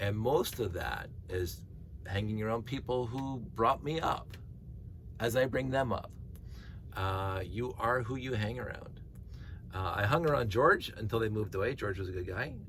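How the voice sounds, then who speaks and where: Ordinary pitch variation and long, frequent pauses come through with audible room echo. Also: man, medium pitch for a man, moderate pace. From Canada, Winona. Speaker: vlogger. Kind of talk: casual monologue while sorting. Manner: halting, many fillers and repeats.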